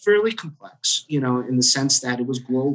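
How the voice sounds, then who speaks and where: Speaking with an American accent, a man has an unremarkable speaking voice at medium pitch with ordinary pitch variation. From New Jersey. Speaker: IT director. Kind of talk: casual interview.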